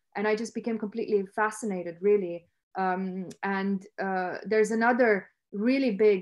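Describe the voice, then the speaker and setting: In a quiet background, a woman speaks at a moderate pace with monotone, flat intonation. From Romania. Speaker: academic researcher. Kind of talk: lecture. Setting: video call. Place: home room. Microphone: webcam.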